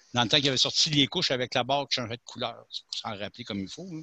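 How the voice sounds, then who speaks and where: Bright and sharp, a man's medium-pitched voice sounds dry and close with no echo. The background is quiet. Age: 60s. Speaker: caller on talk radio. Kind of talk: phone-in discussion.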